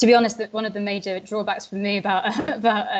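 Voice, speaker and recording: A woman with a Yorkshire accent talks at a very fast pace in a medium pitch, her pitch varying in an ordinary way, with noticeable background noise behind her. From northern England, Yorkshire. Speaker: wine educator. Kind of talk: interview. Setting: video call. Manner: hesitant, many fillers.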